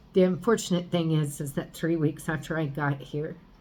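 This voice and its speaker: Speaking at a fairly slow pace, a woman with a very deep, low pitch sounds somewhat breathy, her tone dark and mellow and her intonation fairly even. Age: 50s. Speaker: vlogger. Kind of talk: personal video diary. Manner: halting.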